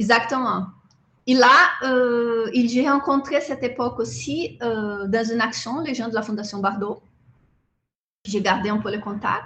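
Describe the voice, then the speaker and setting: Speaking in a Portuguese accent, a woman with a fairly high pitch goes at a fairly slow pace with long, frequent pauses. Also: ordinary pitch variation. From southern Brazil. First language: Portuguese (speaking French). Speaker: animal rights activist. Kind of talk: interview. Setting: video call.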